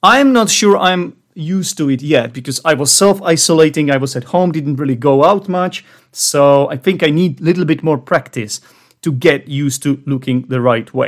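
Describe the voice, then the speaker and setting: A man with a non-native accent and a fairly high pitch. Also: ordinary pitch variation, moderate pace. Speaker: English teacher podcast host. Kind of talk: educational podcast monologue. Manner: clear, measured pace for learners.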